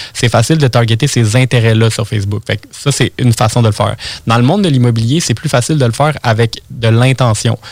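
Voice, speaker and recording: A man talks at a very fast pace. His voice is somewhat breathy, with fairly even intonation. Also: medium pitch for a man. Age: 20s. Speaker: web marketing entrepreneur. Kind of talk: interview. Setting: studio.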